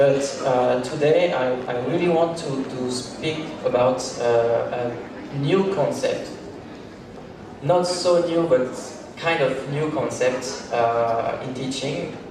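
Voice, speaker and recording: A man with a strong French accent speaks very slowly in a fairly high voice with ordinary pitch variation. Audible room echo and noticeable background noise surround him. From France. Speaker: language teacher, seminar speaker. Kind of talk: lecture. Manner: halting, many fillers.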